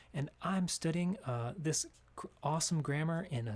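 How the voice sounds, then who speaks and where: Ordinary pitch variation marks a man's fairly high voice. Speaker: English grammar teacher. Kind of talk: tutorial. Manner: halting.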